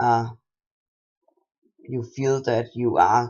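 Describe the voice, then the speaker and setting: A man speaks at a very slow pace with a medium pitch. His intonation is monotone and flat. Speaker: transgender vlogger. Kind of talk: casual talk to camera. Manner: hesitant, halting.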